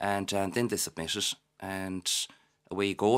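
This man speaks with a Galway accent at a fairly low pitch. The recording is very clean, with a silent background. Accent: Irish, Galway. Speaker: florist and parent of young actor. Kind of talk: casual radio interview.

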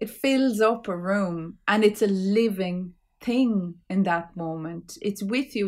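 A woman speaks with an Irish accent at a medium pitch. Her pitch varies in an ordinary way, and the recording is very clean with a silent background. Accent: Irish (Clare). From Ireland, County Clare. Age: 40s. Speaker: poet and author. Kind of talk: casual interview chat.

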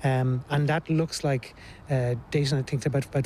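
At a fairly quick pace, a man with an Irish accent speaks at a medium pitch in a monotone, flat intonation. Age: 50s. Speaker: archaeology professor. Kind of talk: on-site interview.

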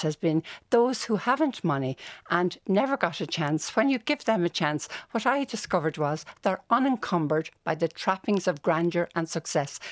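Recorded very clean with a silent background and a dry, close sound with no echo, a woman with a Dublin accent speaks at a moderate pace, her fairly low pitch making very wide swings. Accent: Dublin Irish. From Dublin, Ireland. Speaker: nun and music educator. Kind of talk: radio interview. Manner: animated.

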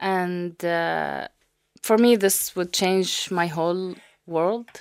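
A woman with an Arabic accent speaks at a medium pitch. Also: very clean recording, silent background. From Saudi Arabia, Syrian family. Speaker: data scientist. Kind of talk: radio interview. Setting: studio.

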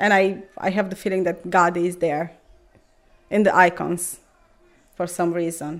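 In a Romanian accent, a woman with a fairly low pitch speaks in a flat monotone, leaving long, frequent pauses. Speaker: mother and Orthodox believer. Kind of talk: personal conversation in an interview. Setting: home kitchen. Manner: calm, gentle.

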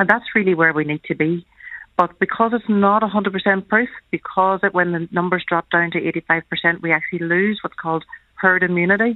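In a plain, everyday voice, a woman talks fairly quickly at a medium pitch. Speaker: family doctor. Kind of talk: radio interview. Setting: phone call.

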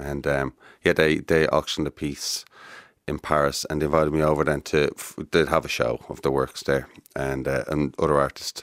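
A man speaks at a moderate pace in a very deep, low pitch with vocal fry. His intonation is monotone and flat, and the sound is dry and close with no echo. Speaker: artist. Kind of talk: casual chat. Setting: studio.

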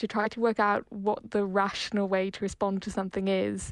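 Over a quiet background, a woman speaks at a moderate pace and medium pitch. Her intonation is monotone and flat. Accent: Irish. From Ireland. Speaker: novelist. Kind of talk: interview.

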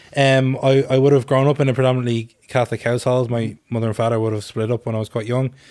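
A man with an Irish accent at a very fast pace, with hardly any pauses and monotone, flat intonation, on a very clean recording with a silent background. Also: medium pitch for a man. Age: 20s. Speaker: anti-racism activist. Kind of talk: casual radio chat.

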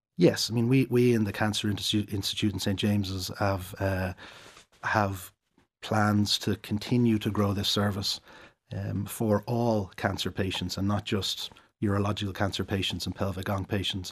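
On a very clean recording with a silent background, a man with an Irish accent speaks at a moderate pace and fairly low pitch, his intonation monotone and flat. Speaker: urologist. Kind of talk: interview. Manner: halting.

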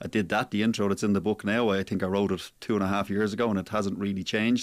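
A fast-paced man with a fairly low pitch and little pitch movement

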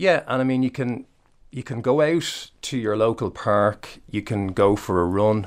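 Recorded very cleanly against a silent background, a man with an Irish accent and fairly low pitch talks at a fairly slow pace with ordinary pitch variation. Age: 40s. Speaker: personal trainer. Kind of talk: interview. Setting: studio.

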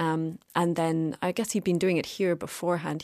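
On a very clean recording with a silent background and dry, close sound with no echo, a woman talks at a fairly quick pace in a fairly low pitch with monotone, flat intonation. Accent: Cork. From Ireland, rural County Cork. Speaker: novelist and artist. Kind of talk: casual chat. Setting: studio.

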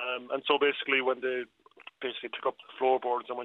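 A man talks with a Cork accent at a medium pitch. His pace is very fast. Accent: Cork Irish. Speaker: local historian and councillor. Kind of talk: radio interview.

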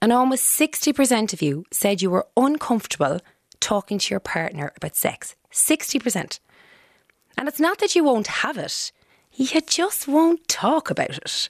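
A woman with a Cork accent speaks in a high voice that makes very wide pitch swings, recorded dry and close with no echo. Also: moderate pace. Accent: Irish, Cork. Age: 30s. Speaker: radio host. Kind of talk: radio show hosting.

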